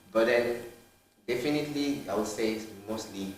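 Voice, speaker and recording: Moderate-paced male speech with ordinary pitch variation, noticeable background noise and audible room echo. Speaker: student. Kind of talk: casual interview.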